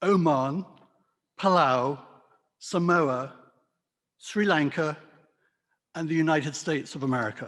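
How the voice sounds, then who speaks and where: In a British RP accent, a man with a fairly high pitch talks at a fairly slow pace, with ordinary pitch variation, long, frequent pauses and a quiet background. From England, London. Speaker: wine merchant. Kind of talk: talk to a club audience. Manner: hesitant with many fillers.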